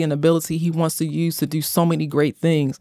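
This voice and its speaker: On a very clean recording with a silent background, a woman speaks in an American accent. Her voice is fairly low, and her pace is very fast. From US, Baltimore. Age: 40s. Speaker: pastor. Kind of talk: sermon-like exhortation; casual interview.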